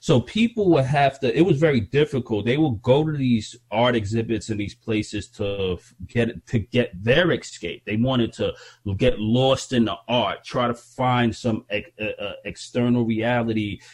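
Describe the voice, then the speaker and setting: A man talks in a medium pitch at a fairly slow pace. His voice is somewhat breathy, with ordinary pitch variation. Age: 40s. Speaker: hip hop artist and podcast host. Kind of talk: casual chat.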